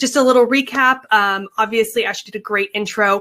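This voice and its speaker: Her tone is bright and sharp. The woman's pitch is fairly high, with ordinary variation. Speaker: Instagram marketing consultant, presenter. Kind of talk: webinar presentation. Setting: online webinar. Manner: fast.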